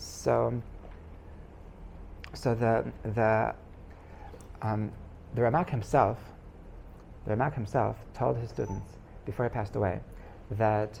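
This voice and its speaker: With audible room echo, a man with a fairly low pitch and ordinary pitch variation speaks with long, frequent pauses. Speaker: rabbi teaching a class. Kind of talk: lecture. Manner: fast; halting, many repetitions and fillers.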